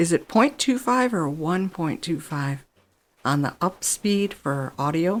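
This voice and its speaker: Pitch swings very widely at a fairly slow pace, on a very clean recording with a silent background. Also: woman, fairly low pitch for a woman. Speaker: gaming streamer. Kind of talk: casual gameplay commentary.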